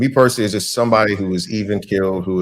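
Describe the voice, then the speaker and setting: Here is a man with an unremarkable speaking voice. His pitch is fairly low and his intonation fairly even. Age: 40s. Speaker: podcast co-host. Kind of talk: casual chat.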